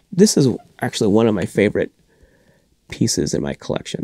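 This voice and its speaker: Very wide pitch swings mark this man's voice, which carries vocal fry and keeps a moderate pace. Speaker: collector and show host. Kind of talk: casual video talk. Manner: halting.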